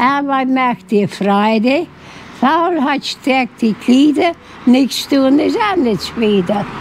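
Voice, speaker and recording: A woman speaks at a very slow pace with a high pitch, lively intonation and very even loudness. Noticeable background noise can be heard. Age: 80s+. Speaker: centenarian interviewee. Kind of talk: interview. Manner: halting.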